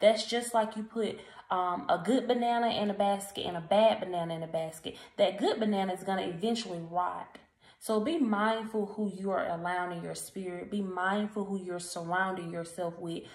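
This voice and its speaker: A woman talks at a moderate pace with fairly even intonation, and audible room echo surrounds her voice. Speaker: encouragement vlogger. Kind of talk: casual motivational vlog talk. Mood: earnest, encouraging. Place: home room. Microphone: phone near.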